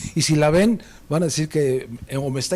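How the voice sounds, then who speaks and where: A man speaks with an unremarkable speaking voice at a moderate pace. His pitch is fairly high, with ordinary pitch variation. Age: 60s. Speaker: teacher. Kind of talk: casual chat.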